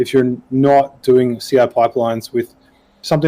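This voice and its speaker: A man with an Australian accent speaks in a dark, mellow tone with monotone, flat intonation. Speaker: podcast panelist, software developer. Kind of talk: casual panel discussion. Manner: hesitant, many fillers.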